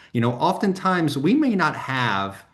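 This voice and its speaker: An American-accented man speaks at a fairly slow pace with lively intonation. Room echo is audible. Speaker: software vendor representative. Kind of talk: webinar panel discussion. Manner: many fillers (um, you know).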